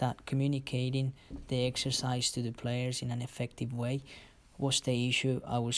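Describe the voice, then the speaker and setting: On a very clean recording with a silent background, a man with a Spanish accent talks in a medium-pitched, flat monotone at a moderate pace. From Colombia, Cali. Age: 20s. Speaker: football coach. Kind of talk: presentation. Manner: halting.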